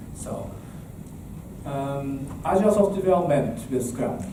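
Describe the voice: At a fairly slow pace, a man with a medium pitch speaks amid audible room echo. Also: lively intonation.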